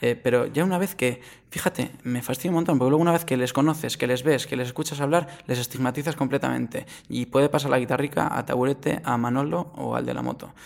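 A man's speech races along at a very fast pace. His pitch varies in an ordinary way, and the recording is very clean against a silent background. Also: medium pitch for a man. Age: 20s. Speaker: podcast host, music interviewer. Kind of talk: casual interview.

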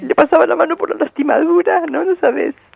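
In a dry, close recording with no echo, a woman's voice swings very widely in pitch. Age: 60s. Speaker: animal welfare activist. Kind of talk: phone interview.

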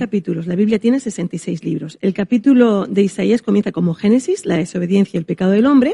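This somewhat breathy voice has a dark, mellow tone and lively intonation, with a dry, close sound and no echo. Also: woman. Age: 40s. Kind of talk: casual chat.

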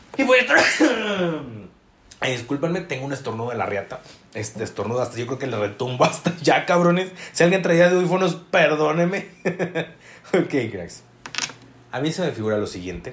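A man with a Mexican accent speaks at a moderate pace in a fairly high pitch, his animated tone marked by very wide pitch swings. He takes long, frequent pauses, and noticeable background noise is present. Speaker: podcast host and business coach. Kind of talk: motivational talk.

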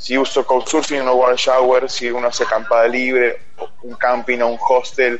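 A man speaks at a fairly slow pace in a medium pitch, with noticeable background noise behind him. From Argentina, Río Cuarto (Córdoba). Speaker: cycle traveler. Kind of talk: radio interview.

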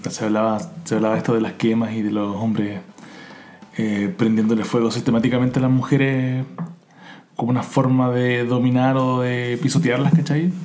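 A man of medium pitch with a Chilean accent at a moderate pace, with long, frequent pauses, noticeable background noise and audible room echo. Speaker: podcast co-host. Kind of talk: casual chat. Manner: halting.

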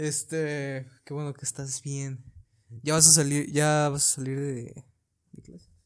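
Very slowly and in a monotone, flat delivery, a man speaks with big swings in loudness. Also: fairly high pitch for a man. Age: 20s. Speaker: flautist and podcast host. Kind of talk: casual chat.

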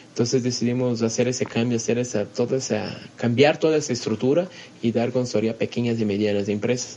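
A very fast man's voice at medium pitch with fairly even intonation. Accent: Portuguese. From Brazil. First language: Portuguese (speaking Spanish). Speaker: business consultant. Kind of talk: interview. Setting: at the guest's home.

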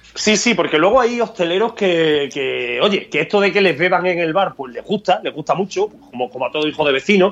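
A high-pitched man talks fairly quickly with lively intonation. Clear background noise is present throughout. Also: hardly any pauses. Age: 30s. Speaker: podcast co-host. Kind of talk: casual chat.

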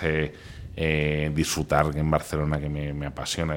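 Over noticeable background noise, a man speaks with a very deep, low pitch. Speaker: food instagrammer. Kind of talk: interview. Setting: restaurant. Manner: animated; fast.

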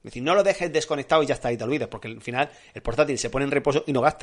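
An animated man with a fairly high pitch, speaking very fast. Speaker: cycling podcast host. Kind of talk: live stream Q&A chat.

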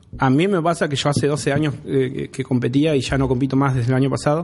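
A man's fairly high voice with an Argentine accent. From Rawson, Argentina. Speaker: rapper. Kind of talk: casual chat. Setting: studio.

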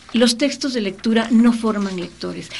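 An unremarkable speaking voice carries fairly even intonation. The pace is fairly slow. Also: woman. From Ecuador. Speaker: children's author. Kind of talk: radio interview.

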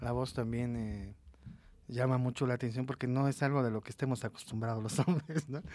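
This man has a plain, everyday voice. He keeps a medium pitch and a moderate pace. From Mexico City. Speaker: radio host. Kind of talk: radio interview and event announcements.

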